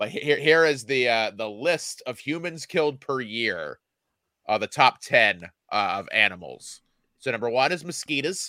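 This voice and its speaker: A man's medium-pitched, bright and sharp voice with vocal fry, lively intonation and a moderate pace, in a very clean recording over a silent background. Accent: American. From Indiana. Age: 40s. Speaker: comedian. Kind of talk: casual chat.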